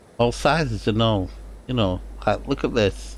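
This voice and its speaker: A man speaks at a fairly slow pace. He has a strong Lancashire accent. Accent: broad Lancashire. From northern England, Lancashire. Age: 60s. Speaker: gaming streamer. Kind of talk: live gameplay commentary. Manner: halting.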